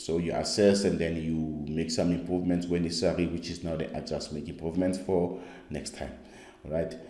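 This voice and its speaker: A dark, mellow, monotone voice with flat intonation, fairly quick pace and audible room echo. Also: man, very deep, low pitch for a man. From South Africa. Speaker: skills coach. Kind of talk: online course lecture. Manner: halting, with many fillers.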